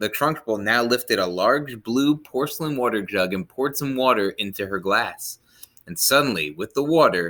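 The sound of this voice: An unforced reading voice carries intonation that rises and falls with plenty of life.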